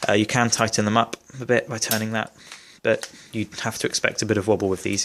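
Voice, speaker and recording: Talking very fast, a man with a British accent keeps a monotone, flat intonation. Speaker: airsoft gun reviewer. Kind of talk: product review tutorial.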